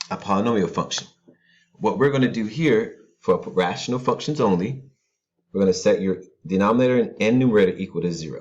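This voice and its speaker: A man's medium-pitched, quiet voice with lively intonation, a fairly quick pace and long, frequent pauses. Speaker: math teacher. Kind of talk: tutorial. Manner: calm and quiet.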